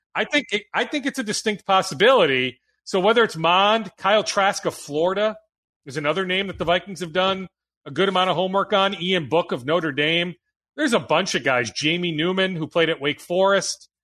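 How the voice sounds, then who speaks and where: A high-pitched man with an American accent speaks in a raised, projected voice at a fairly quick pace, with a bright, sharp tone and lively intonation. The background is quiet. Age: 40s. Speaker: sports radio host. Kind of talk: casual sports talk.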